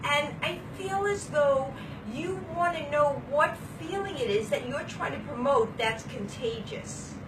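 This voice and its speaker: In a strong Brooklyn accent, a woman talks in an animated tone at a fairly slow pace, her high voice making very wide pitch swings, with audible room echo and noticeable background noise. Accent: Brooklyn accent, still strong. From Brooklyn, New York. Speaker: vlogger. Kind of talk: casual chat. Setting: hotel room.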